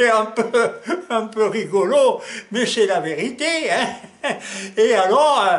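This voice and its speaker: A man's extremely high-pitched voice at a very slow pace, with ordinary pitch variation, long and frequent pauses, audible room echo and noticeable background noise. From Alsace, France. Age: 80s+. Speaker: laboratory owner, chemist. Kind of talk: interview. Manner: hesitant, many fillers.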